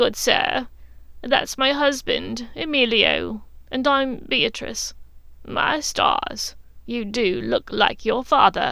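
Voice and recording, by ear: A woman puts on a character voice, high in pitch. She speaks at a very slow pace.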